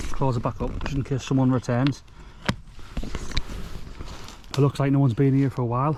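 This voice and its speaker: A man's medium-pitched voice, monotone and flat, over noticeable background noise. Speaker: bushcraft vlogger. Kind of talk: casual outdoor vlog narration. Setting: outdoors in woodland. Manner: fast.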